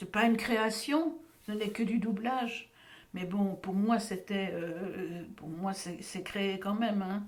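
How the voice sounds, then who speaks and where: Amid noticeable background noise, a woman with a medium pitch speaks at a very slow pace and with fairly even intonation. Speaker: voice actor. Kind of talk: interview answer.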